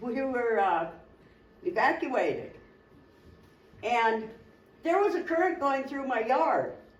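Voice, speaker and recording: This high-pitched woman speaks at a very slow pace with long, frequent pauses and very wide pitch swings. Audible room echo surrounds her voice. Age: 60s. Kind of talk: testimony.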